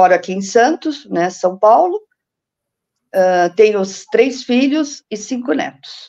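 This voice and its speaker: A woman's fairly high voice with a dark, mellow tone and lively intonation, at a very slow pace. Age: 60s. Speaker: retired finance administrator, numerology student. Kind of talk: casual interview testimony. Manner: halting, many restarts and fillers.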